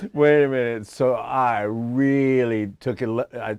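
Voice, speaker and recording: A man speaks with an American accent at a medium pitch. The background is quiet. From Iran, then Houston, Texas from age ten. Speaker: guitarist. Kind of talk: casual chat. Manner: animated, halting with many fillers.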